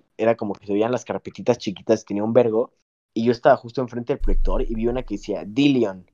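A man talks at a very fast pace in a medium pitch with a dark, mellow tone. The sound is dry and close with no echo. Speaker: podcast panelist. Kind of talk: casual chat.

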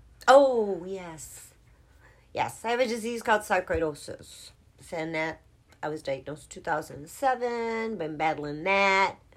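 In a very clean recording with a silent background, a woman with an unremarkable speaking voice talks at a medium pitch and a fairly slow pace, with lively intonation and big swings in loudness. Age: 50s. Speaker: co-host godmother. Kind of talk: casual chat.

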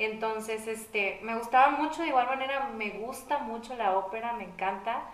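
A woman with a fairly high pitch and ordinary pitch variation talks at a moderate pace with hardly any pauses over noticeable background noise. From Mexico, Saltillo. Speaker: singer-songwriter. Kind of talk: casual interview chat.

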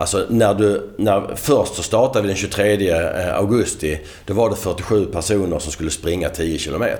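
Noticeable background noise sits behind a man with a fairly low pitch. His pitch varies an ordinary amount. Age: 50s. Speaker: marketing director. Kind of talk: podcast interview.

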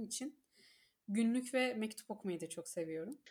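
A woman speaks at a moderate pace. Her voice is fairly high, with a dark, mellow tone. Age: 30s. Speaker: book reader guest, HR manager. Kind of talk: casual chat.

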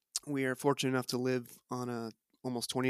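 On a very clean recording with a silent background and a dry, close sound with no echo, a man speaks at a medium pitch in monotone, flat intonation. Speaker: teacher and homesteader. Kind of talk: interview conversation.

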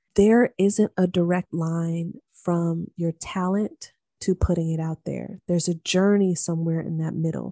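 A woman speaks at a fairly slow pace with hardly any pauses, her fairly low voice dark and mellow in tone, with fairly even intonation and a dry, close sound with no echo. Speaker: podcast host. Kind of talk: solo podcast monologue.

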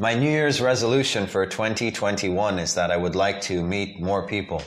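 This man's voice sits fairly low, with ordinary pitch variation. He speaks at a fairly slow pace, and the room echo is audible. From South Africa, Cape Town. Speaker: graduate student. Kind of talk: casual chat. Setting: in a kitchen at a house in Taichung.

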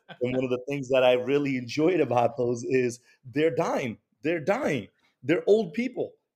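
Speaking at a moderate pace with an American accent, a man uses a normal speaking voice, fairly high-pitched, with ordinary pitch variation. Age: 30s. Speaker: liquor store owner. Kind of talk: casual chat.

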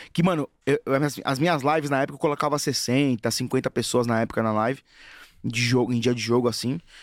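The man speaks at a fairly quick pace with long, frequent pauses, keeping a medium pitch, ordinary pitch variation and very even loudness on a very clean recording with a silent background. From Brazil, Guarulhos (São Paulo). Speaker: football fan influencer. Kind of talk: casual chat. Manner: animated.

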